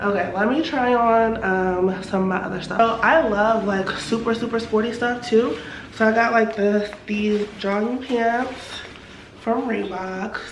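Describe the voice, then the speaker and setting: A woman's fairly high voice with an American accent, set against noticeable background noise. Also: fairly slow pace. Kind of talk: casual talk to camera. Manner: chatty, upbeat.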